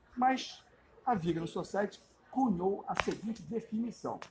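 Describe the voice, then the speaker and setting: A man speaks with a high-pitched voice at a fairly slow pace over noticeable background noise. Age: 70s. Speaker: vegan activist, social media creator. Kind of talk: interview testimony and explanation.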